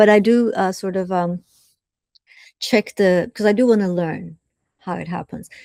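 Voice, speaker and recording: A woman with a Turkish accent and a dark, mellow tone, at a moderate pace with fairly even intonation, in a very clean, silent recording with a dry, close sound and no echo. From southern Turkey (Adana). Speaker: professor. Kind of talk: interview. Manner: hesitant, with frequent fillers.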